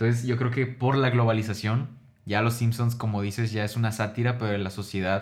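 A man at a fairly quick pace, with monotone, flat intonation, very even loudness and noticeable background noise. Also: medium pitch for a man. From Mexico, Ciudad Juárez. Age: 20s. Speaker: podcast co-host, rapper. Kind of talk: casual chat.

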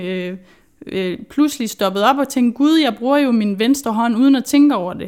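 The pace here is fairly slow, and the pitch varies in an ordinary way. This is a very clean recording with a silent background. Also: woman. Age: 20s. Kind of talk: interview. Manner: hesitant, many fillers.

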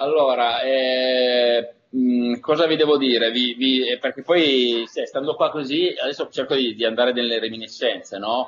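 With hardly any pauses, a man speaks at a fairly slow pace in an unremarkable speaking voice, medium in pitch with fairly even intonation. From northern Italy, Turin. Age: 50s. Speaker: voice actor.

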